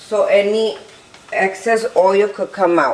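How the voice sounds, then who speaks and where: Against noticeable background noise, a woman with a Spanish accent talks at a medium pitch. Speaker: home cook. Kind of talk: cooking tutorial. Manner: casual, slightly halting.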